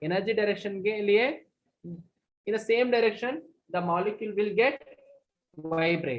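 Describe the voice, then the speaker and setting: Pausing long and often, a woman speaks at a moderate pace and medium pitch with ordinary pitch variation. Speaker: physics teacher. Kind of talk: online lecture. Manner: loud.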